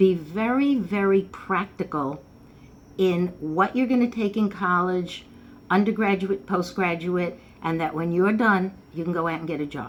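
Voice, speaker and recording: A woman at medium pitch and moderate pace, with ordinary pitch variation and audible room echo. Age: 70s. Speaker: numerology teacher. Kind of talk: informal lecture. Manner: casual, conversational.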